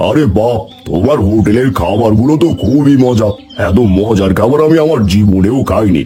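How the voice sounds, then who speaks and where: A man's cartoonish character voice at medium pitch and moderate pace, with clear music in the background. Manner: brusque, commanding.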